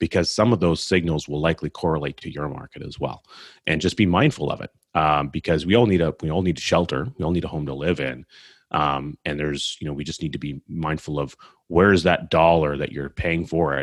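A man with a Canadian accent speaks at a fairly quick pace with a very deep, low pitch, vocal fry and ordinary pitch variation, on a very clean recording with a silent background. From Canada (Edmonton, Alberta). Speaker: financial services entrepreneur. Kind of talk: interview. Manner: frequent repetitions and fillers.

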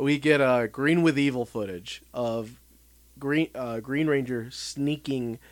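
The speaker is reading aloud. The voice stays natural throughout.

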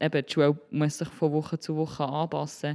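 A woman speaks at a moderate pace with a very deep, low pitch and a Solothurn accent. The recording is very clean, with a silent background. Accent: Swiss German (Solothurn). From Switzerland, Solothurn. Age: 20s. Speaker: primary school teacher. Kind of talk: interview.

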